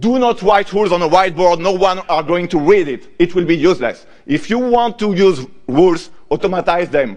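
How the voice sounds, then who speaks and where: At a moderate pace, a man with a French accent speaks in a high pitch. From France. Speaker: conference speaker, software developer. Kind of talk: lightning talk.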